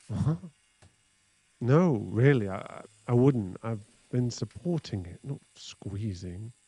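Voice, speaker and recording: A man with a medium pitch speaks very slowly in a nervous, somewhat breathy tone, with long, frequent pauses. His intonation is lively and his loudness swings a lot. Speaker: ASMR roleplay performer voicing a tattooist. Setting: close-mic ASMR recording. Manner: flustered, bashful, stammering and awkward, with nervous pauses and self-corrections; soft, close-mic and intimate, flirty.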